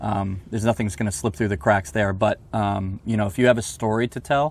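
Somewhat breathy and fairly low in pitch, a man with an American accent talks at a fairly quick pace with ordinary pitch variation. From Northern Virginia (Alexandria). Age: young. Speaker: golf magazine editor. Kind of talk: casual interview chat. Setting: outdoors at golf course.

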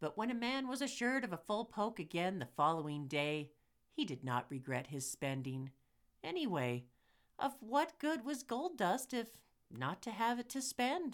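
A woman talks at a fairly high pitch with vocal fry. Her pitch swings very widely. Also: moderate pace. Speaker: podcast host. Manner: formal, steady and measured, dramatic storyteller pacing.

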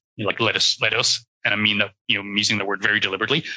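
Speaking with an Irish accent, a man uses a fairly low pitch. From Ireland. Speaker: cybersecurity professional. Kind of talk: interview conversation.

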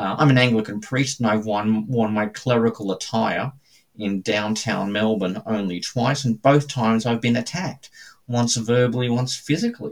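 A man with an Australian accent, medium pitch, fairly even intonation and a moderate pace. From Australia, suburban Brisbane. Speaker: Anglican priest and theologian. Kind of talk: interview testimony.

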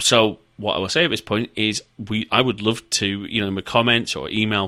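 A man's fairly low voice, bright and sharp in tone, with a northern English accent, on a very clean recording over a silent background. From northern England. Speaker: podcast host. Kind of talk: casual interview chat.

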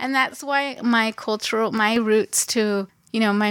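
At a moderate pace, an ordinary speaking voice talks with fairly even intonation in a very clean recording with a silent background. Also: woman. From Los Angeles, California. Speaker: gallery co-owner and arts administrator. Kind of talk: casual interview. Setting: in the gallery.

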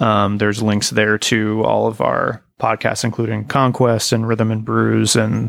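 A man's fairly slow pace and very even loudness, with a dry, close sound and no echo. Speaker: podcast guest. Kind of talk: casual chat.

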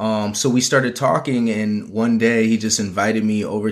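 Over a silent background on a very clean recording, a man with an American accent speaks at a fairly low pitch in a monotone, flat intonation. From Minnesota (Minneapolis). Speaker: fashion and marketing consultant. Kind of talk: casual interview.

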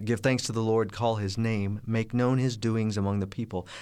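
A medium-pitched man with fairly even intonation on a very clean recording with a silent background. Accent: Midwestern American. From US Midwest, Kansas City, Missouri. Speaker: gospel musician and network manager. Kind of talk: interview. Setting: studio.

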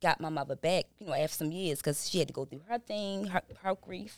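A woman in a plain, everyday voice speaks at a fairly quick pace with a fairly low pitch and ordinary pitch variation. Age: 40s. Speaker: behavioral health business owner and correctional officer. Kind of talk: casual interview chat.

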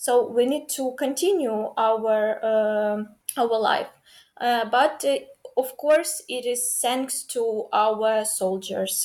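A woman with a Ukrainian accent talks at a very slow pace. Her pitch is high, with ordinary variation. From Ukraine. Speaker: university student and dancer. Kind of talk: casual interview. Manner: halting, many fillers.

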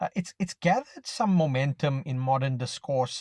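Fairly high-pitched, somewhat breathy male speech at a moderate pace, ordinary pitch variation, dry and close with no echo, over a quiet background. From South Africa. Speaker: macro analyst, podcast co-host. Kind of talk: casual finance discussion. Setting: in his car, remote call.

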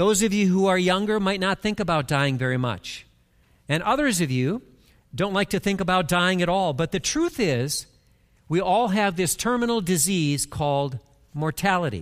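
A man's high voice at a moderate pace, with very even loudness. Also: lively intonation, very clean recording, silent background. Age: 60s. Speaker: pastor. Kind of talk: sermon. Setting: church.

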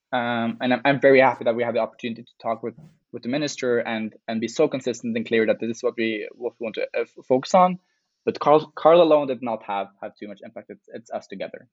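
At a very fast pace, a man with a Norwegian accent talks at medium pitch, with ordinary pitch variation and big swings in loudness. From Norway. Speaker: climate activist. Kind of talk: interview.

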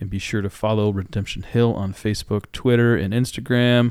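In an American accent, a man with a fairly low pitch and an unremarkable speaking voice talks at a fairly quick pace with fairly even intonation, on a very clean recording with a silent background. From Iowa. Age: 40s. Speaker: pastor and podcast host. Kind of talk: podcast outro; casual theological discussion.

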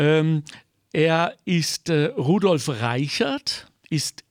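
A man speaks in a dry, close sound with no echo. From Germany. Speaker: podcast host. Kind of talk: interview.

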